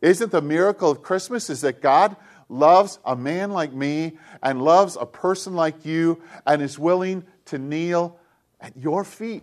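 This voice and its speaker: A man's high-pitched voice at a fairly slow pace against a quiet background. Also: ordinary pitch variation. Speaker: pastor. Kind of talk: sermon.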